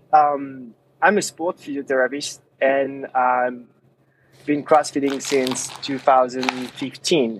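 With a French accent, a man speaks. His pace is very slow. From France. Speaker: app company founder, sport physiotherapist. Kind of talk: podcast interview.

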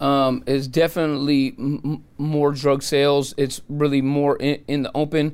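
Fairly high-pitched for a man, he speaks at a moderate pace with hardly any pauses, on a very clean recording with a silent background. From San Francisco, California. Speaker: former drug addict turned homelessness advocate and videographer. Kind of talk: interview, personal testimony. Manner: animated.

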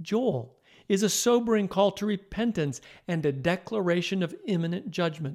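A man's high, solemn voice with lively intonation. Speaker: Bible podcast host. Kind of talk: scripture audiobook narration, reverent and measured, reading poetic verses aloud. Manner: slow, solemn, steady pacing; calm, warm, instructive.

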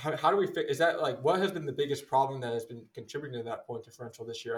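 Somewhat breathy speech with an American accent. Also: man. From Philadelphia, US East Coast. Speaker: sports podcast host. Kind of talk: casual sports talk.

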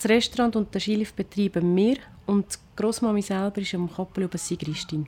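A woman speaks at a fairly quick pace with fairly even intonation. She has a plain, everyday voice. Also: medium pitch for a woman. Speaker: restaurant manager and cook. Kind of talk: casual chat.

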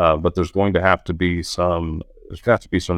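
A very deep, low-pitched man with an American accent and monotone, flat intonation. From Oklahoma. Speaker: audio technology executive. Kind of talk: casual interview. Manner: halting, many fillers and repeats.

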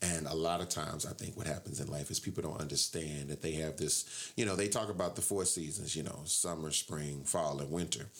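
The man's speech is very fast. Pitch moves in an ordinary way. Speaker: radio host. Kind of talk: casual radio hosting chat. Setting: radio studio. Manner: animated, loud, energetic.

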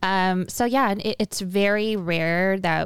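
A woman speaks in an ordinary speaking voice at a medium pitch, keeping her intonation fairly even. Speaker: event business owner. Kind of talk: casual chat. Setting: studio.

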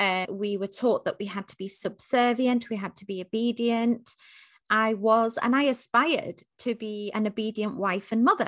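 Over a quiet background, a woman with a fairly high pitch speaks at a moderate pace in an animated, passionate tone with big swings in loudness. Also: dry, close sound with no echo. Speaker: leadership and diversity coach. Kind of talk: interview.

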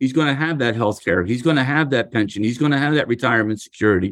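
With an American accent, a man talks at a very fast pace in a medium pitch, using ordinary pitch variation over a quiet background. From US Northeast, Philadelphia. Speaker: union leader. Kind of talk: interview.

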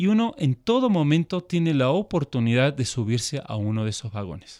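A man's fairly high voice at a moderate pace, dry and close with no echo, on a very clean recording against a silent background. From Argentina, then Switzerland from age 12. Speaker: missionary. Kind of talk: interview conversation. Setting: studio.

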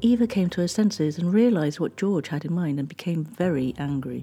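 With lively intonation, a woman with a plain, everyday voice speaks at a moderate pace in a fairly low pitch. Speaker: podcast host and narrator. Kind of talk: true-crime narration. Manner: measured, storytelling, steady.

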